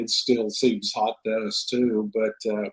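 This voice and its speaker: A man is speaking. He has a Texan accent. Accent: Texan American English. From Texas. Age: 70s. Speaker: author. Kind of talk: interview. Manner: halting, many fillers and repeats.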